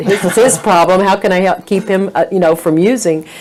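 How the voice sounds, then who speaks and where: Noticeable background noise beneath a woman speaking at a medium pitch. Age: 60s. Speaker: minister and counselor. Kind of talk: interview conversation. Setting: church. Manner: halting, many fillers.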